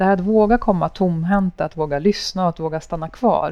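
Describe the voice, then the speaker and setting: Fairly low-pitched woman's voice, dark and mellow in tone, over a quiet background. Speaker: podcast host. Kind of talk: interview. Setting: café with small audience.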